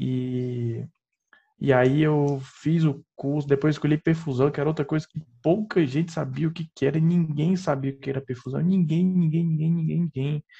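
This man has a dark, mellow tone and a fairly high pitch, sounding somewhat breathy at a moderate pace with ordinary pitch variation. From Piauí, northeastern Brazil. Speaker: perfusionist and professor. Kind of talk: casual interview chat.

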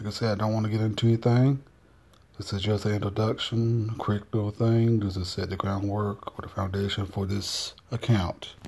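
A somewhat breathy man with a North Carolina accent, fairly low in pitch, fairly quick in pace, flat and monotone in intonation. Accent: Southern US, North Carolina. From US South, North Carolina. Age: 40s. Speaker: personal vlogger. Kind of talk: casual monologue, personal video diary.

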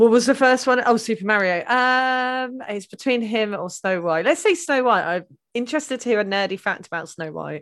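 A woman speaks in a plain, everyday voice, fairly high-pitched with lively intonation. Her moderate pace has hardly any pauses, on a very clean recording with a silent background. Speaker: guest advocating her chosen episode. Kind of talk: casual mock-trial chat.

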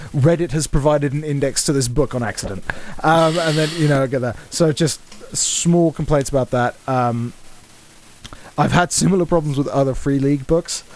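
The speaker's intonation is fairly even. Noticeable noise sits in the background. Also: man, fairly high pitch for a man, moderate pace. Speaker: game master and podcast host. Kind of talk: tabletop roleplaying game session, casual banter with narration. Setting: recorded remotely online over a virtual tabletop.

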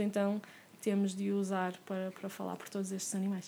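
A woman speaks with a Porto accent at a medium pitch. Her tone is dark and mellow. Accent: Porto accent, noticeable. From Porto, northern Portugal (first 10 years in France). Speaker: animal rights activist. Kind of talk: casual interview conversation.

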